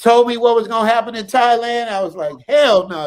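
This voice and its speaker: A man talks fairly quickly in a high voice with ordinary pitch variation. His tone is animated. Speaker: actor. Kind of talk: casual chat. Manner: animated, high-energy.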